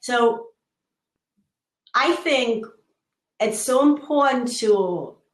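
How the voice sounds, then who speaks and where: Her voice fairly high, a woman talks with ordinary pitch variation. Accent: German. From Germany. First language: German. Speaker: show co-host. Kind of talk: live video chat.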